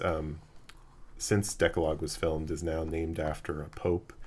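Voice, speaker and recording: A man with an American accent speaks fairly slowly in a very deep, low, monotone voice, recorded very cleanly over a silent background. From Los Angeles. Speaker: podcast host. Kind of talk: casual chat. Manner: hesitant with many fillers.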